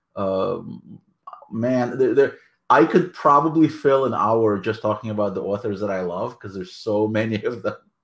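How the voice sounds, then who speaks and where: A man with a Russian accent speaks at a moderate pace, his medium pitch showing ordinary pitch variation. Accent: Russian-type accent in English. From Soviet Union, emigrated to US at 13-14. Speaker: author and anthology editor. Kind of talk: interview. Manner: hesitant, many fillers.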